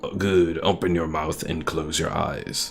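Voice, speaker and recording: Over clear background music, a man does a put-on character voice with a very deep, low pitch at a fairly slow pace. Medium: game stream. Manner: clinical, precise.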